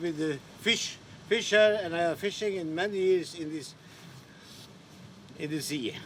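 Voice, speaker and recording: Over noticeable background noise, a high-pitched man speaks at a moderate pace with ordinary pitch variation and long, frequent pauses. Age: 70s. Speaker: retired fisherman and sea captain. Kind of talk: interview. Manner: halting.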